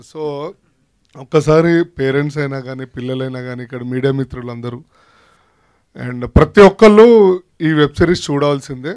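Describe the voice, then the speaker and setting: The voice shows ordinary pitch variation and big swings in loudness. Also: man, fairly high pitch for a man. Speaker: actor. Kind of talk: speech at a film launch event. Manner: humorous, casual.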